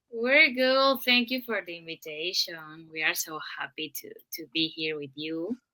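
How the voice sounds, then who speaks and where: Her tone bright and sharp, a woman with a fairly low pitch speaks at a fairly slow pace, her pitch swinging very widely and her loudness rising and falling in big swings. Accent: Spanish. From Mexico. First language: Spanish. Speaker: DJ. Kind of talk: casual chat.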